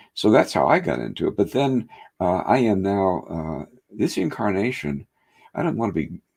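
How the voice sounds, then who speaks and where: Against a quiet background, a man speaks in a very deep, low pitch with vocal fry. His voice makes very wide pitch swings. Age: 70s. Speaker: hypnotherapist. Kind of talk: interview. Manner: halting, many fillers.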